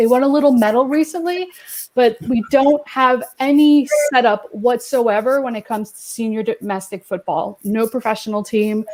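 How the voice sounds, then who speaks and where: A high-pitched woman's voice with an American accent and ordinary pitch variation, in a very clean recording with a silent background. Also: moderate pace. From Quebec, Canada. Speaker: football writer. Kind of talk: casual chat.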